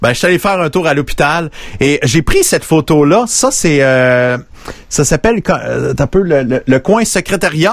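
Talking at a fairly slow pace with lively intonation, a man with a Quebec accent has a fairly high pitch. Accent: Québécois French. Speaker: radio-style podcast host. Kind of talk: casual live show chat. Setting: video call.

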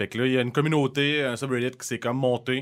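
The very clean recording, silent in the background, carries a man's medium-pitched voice. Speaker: podcast co-host. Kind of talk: casual chat.

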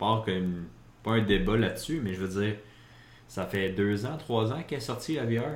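At a very slow pace, a man with a Quebec accent and a fairly low pitch speaks amid audible room echo. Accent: Québécois French. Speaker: gaming podcast co-host. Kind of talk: casual chat.

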